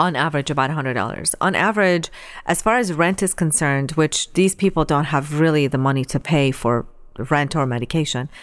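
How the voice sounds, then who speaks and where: A woman's very deep, low voice at a fairly quick pace, very even in loudness, in a very clean recording with a silent background. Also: ordinary pitch variation. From Iran. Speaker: charity director for refugee relief. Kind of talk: interview. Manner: hesitant with frequent fillers.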